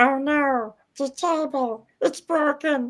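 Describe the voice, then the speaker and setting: In a put-on character voice, a female-sounding speaker uses a high pitch and a very slow pace. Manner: cute, distressed.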